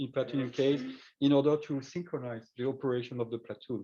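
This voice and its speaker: Delivered at a fairly quick pace in a French accent, the voice has a dark, mellow tone and fairly even intonation. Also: man. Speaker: researcher and startup CEO. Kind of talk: conference talk. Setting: face-to-face meeting with shared screen. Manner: halting, many fillers.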